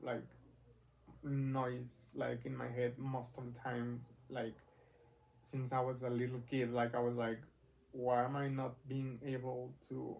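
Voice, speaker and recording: Long, frequent pauses break up a man's fairly slow, monotone, flat delivery at a medium pitch. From Mexico. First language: Spanish. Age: 20s. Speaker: vlogger. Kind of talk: personal vlog. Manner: halting, many fillers.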